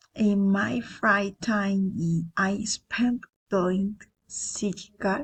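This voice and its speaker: With a Spanish accent, a woman speaks at a medium pitch in a somewhat breathy voice against a quiet background. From Colombia, Cesar. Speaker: language student. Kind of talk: self-introduction for class. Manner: halting, some repetitions.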